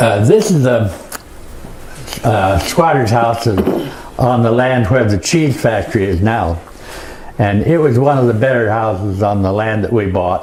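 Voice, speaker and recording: A man's medium-pitched voice with an American accent, ordinary pitch variation and a fairly slow pace, amid noticeable background noise. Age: 80s+. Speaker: Monteverde founding settler, war veteran. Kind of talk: presentation to an audience, historical talk.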